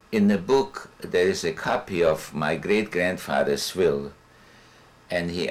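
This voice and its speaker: A man speaks at a fairly slow pace. His pitch is very deep and low, with ordinary pitch variation. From Czechoslovakia. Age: 80s+. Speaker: Holocaust survivor. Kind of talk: testimony. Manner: halting.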